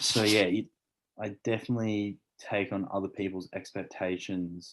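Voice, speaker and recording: In an Australian accent, a man speaks at a fairly slow pace with a fairly low pitch against a quiet background. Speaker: elite swimmer. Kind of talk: casual chat.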